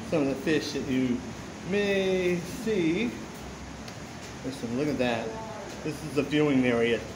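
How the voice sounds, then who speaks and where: Noticeable background noise runs under the recording. A man speaks with very wide pitch swings. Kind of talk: casual vlog chat. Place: waterside. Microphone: phone near.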